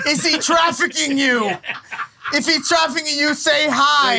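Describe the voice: A man's extremely high, raised, projected voice at a fairly slow pace and very even loudness, with noticeable background noise. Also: ordinary pitch variation.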